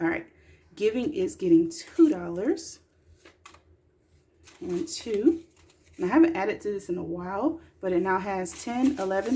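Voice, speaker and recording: A woman with a medium pitch and a dark, mellow, somewhat breathy tone speaks at a moderate pace. Her voice makes very wide pitch swings, with long, frequent pauses. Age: 20s. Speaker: mom and budgeting vlogger. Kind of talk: casual talk to camera. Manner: chatty, relaxed.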